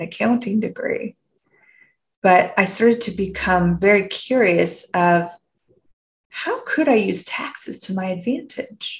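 A woman with a Canadian accent speaks at a medium pitch in a somewhat breathy, warm tone with ordinary pitch variation. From Canada. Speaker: podcast host, personal development coach. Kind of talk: reflective solo podcast monologue. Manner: warm, inquisitive, with frequent laughs.

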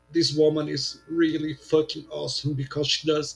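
A man's fairly high voice moves at a fairly quick pace while music plays in the background. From Brazil, São Paulo. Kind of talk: casual chat.

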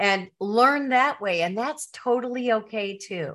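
In a very clean recording with a silent background, a woman with a fairly high pitch and a bright, sharp tone speaks at a very slow pace with lively intonation. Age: 60s. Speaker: retired teacher and author. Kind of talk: casual interview.

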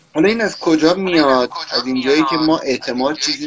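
Noticeable background noise sits under very fast speech with lively intonation. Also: man. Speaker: podcast co-host. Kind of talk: tutorial. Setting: remote live call. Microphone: echo on his voice.

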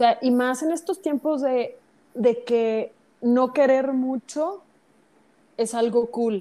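A woman with a high pitch and a dark, mellow tone speaks very slowly with long, frequent pauses and ordinary pitch variation. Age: 40s. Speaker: Buddhist practitioner. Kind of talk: casual chat.

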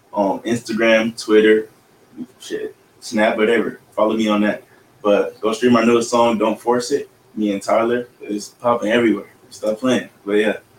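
The speaker has an American accent and a monotone, flat intonation. The pace is moderate, with noticeable background noise. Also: man, medium pitch for a man. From Rialto, California. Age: young. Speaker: rapper. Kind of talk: casual chat.

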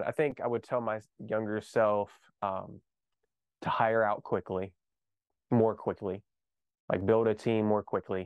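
A man speaks in a monotone, with flat intonation. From US South, small-town Kentucky. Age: 20s. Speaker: real estate investor and entrepreneur. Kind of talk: podcast interview.

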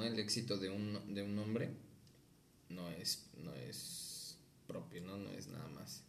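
The room echo is audible. Words arrive at a fairly slow pace. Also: man. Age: 20s. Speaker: podcast guest. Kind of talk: casual chat.

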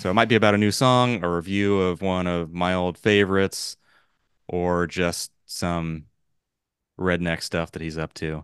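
A man with a West Coast American accent speaks at a moderate pace in a very deep, low voice. His intonation stays fairly even over a quiet background. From Los Angeles. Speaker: podcast host. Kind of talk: casual chat.

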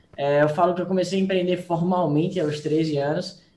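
A man speaks at a moderate pace in a high voice with fairly even intonation, and the room echo is audible. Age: young. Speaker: young entrepreneur. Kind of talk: interview. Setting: video call. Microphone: phone.

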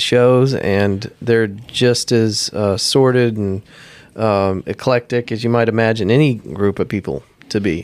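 Using a plain, everyday voice, a man speaks at medium pitch with fairly even intonation. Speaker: podcaster. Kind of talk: casual chat.

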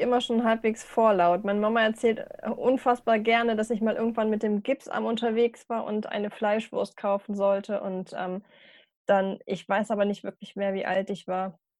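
The delivery is monotone and flat at a moderate pace, set against a quiet background. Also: woman. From northern Germany, Hanover region. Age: 30s. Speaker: funeral speaker and care worker. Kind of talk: casual interview.

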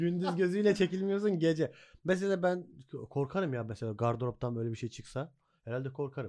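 At a fairly quick pace, a man speaks with lively intonation in a dark, mellow tone, at a fairly high pitch. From Hatay, Samandağ (southern Turkey). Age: 30s. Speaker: podcast host. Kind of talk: casual chat.

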